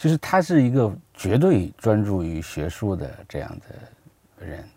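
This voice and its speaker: Speaking at a fairly slow pace, a man with a fairly low, dark, mellow tone sounds relaxed and somewhat breathy, with big swings in loudness and very wide pitch swings. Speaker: history researcher and narrator. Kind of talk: interview conversation. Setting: studio, in person. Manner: talkative.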